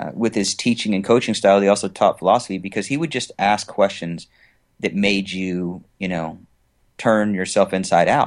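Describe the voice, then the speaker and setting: Against a quiet background, a man talks in a normal speaking voice, his pitch fairly low with ordinary variation. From US West Coast. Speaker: entrepreneur. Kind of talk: interview.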